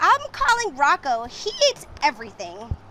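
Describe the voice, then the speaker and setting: High-pitched put-on character voice from a woman, delivered at a moderate pace. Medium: read story. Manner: calm, patient.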